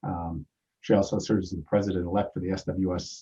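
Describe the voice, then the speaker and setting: Very deep and low in pitch, this man's voice carries a dark, mellow tone. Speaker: chapter president and meeting moderator. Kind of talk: meeting introduction of speakers. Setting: video call webinar. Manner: loud; halting, many fillers.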